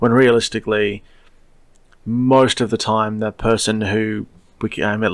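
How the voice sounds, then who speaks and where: A man's fairly low voice in an Australian accent with fairly even intonation, on a very clean recording with a silent background. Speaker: podcast host, science fiction writer. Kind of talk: solo podcast monologue. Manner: casual, digressive with fillers.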